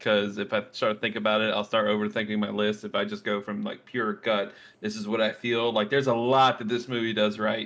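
Very fast speech from a man at a medium pitch, with fairly even intonation. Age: 30s. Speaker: podcast co-host. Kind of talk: casual chat.

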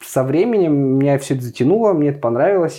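A man speaks in a plain, everyday voice with a fairly high pitch. His pitch variation is ordinary. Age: 20s. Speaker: festival organizer. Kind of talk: casual chat.

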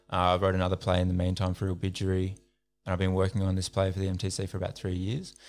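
The recording is very clean, and the background is silent. A man speaks very fast in a very deep, low pitch. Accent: Australian. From Central Australia (Alice Springs). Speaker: playwright, actor and rapper. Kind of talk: casual interview chat.

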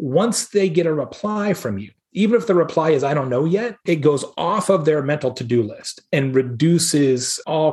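A man with an American accent speaks in a fairly high, somewhat breathy voice, using lively intonation and an animated tone at a moderate pace. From Arizona, US. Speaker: keynote speaker and marketing advisor. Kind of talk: casual interview.

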